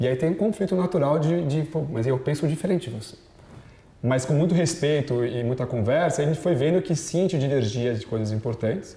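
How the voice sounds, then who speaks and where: A somewhat breathy man's voice, dark and mellow in tone, fairly high in pitch and fairly quick in pace. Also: ordinary pitch variation. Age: 30s. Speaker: business executive. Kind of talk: interview. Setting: TV studio. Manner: fast.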